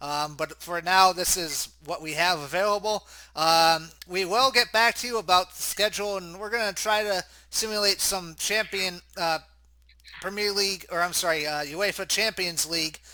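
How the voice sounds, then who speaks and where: With an American accent, a man speaks at a moderate pace in a raised, projected voice that is high for a man, bright and sharp in tone, with ordinary pitch variation, on a very clean recording with a silent background. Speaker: sports commentator. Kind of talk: live commentary.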